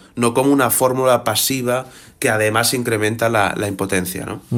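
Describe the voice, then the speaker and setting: A man's voice at medium pitch. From Barcelona, Catalonia, Spain. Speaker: journalist and author. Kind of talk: radio interview. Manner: hesitant, many fillers.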